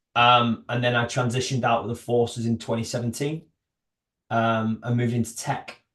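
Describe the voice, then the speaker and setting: Monotone, flat intonation in a northern English accent. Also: man, medium pitch for a man, fairly quick pace. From northern England. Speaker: army veteran and startup founder. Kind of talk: podcast interview. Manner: hesitant, many fillers.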